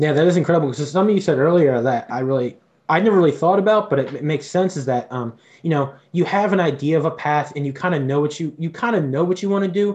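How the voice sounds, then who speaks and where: The man's pitch moves in an ordinary way. He talks at a very fast pace. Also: fairly high pitch for a man. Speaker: student podcast host. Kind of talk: casual interview.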